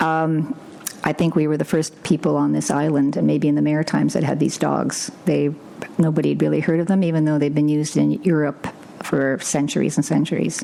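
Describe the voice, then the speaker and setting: Fairly quick speech in a Canadian accent at very even loudness, over noticeable background noise. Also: woman. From Northern Ontario, Sudbury. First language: Ukrainian. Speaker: livestock guardian dog breeder, scientist. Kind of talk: interview. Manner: halting.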